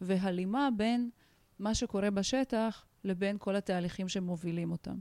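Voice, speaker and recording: Speaking at a fairly slow pace, a woman uses a plain, everyday voice of medium pitch with ordinary pitch variation. The sound is dry and close, with no echo. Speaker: organizational and social consultant. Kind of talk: interview.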